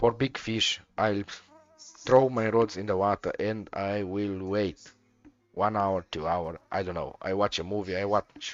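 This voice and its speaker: Over music in the background, a man with a non-native accent speaks at a very slow pace in a fairly low pitch with fairly even intonation. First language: not English. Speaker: video game streamer. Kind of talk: live gameplay commentary. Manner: halting.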